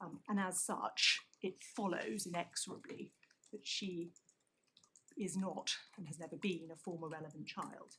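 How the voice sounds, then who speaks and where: Soft-spoken and somewhat breathy, a woman talks at medium pitch with a British accent. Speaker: barrister. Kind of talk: courtroom legal argument. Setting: courtroom. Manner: formal.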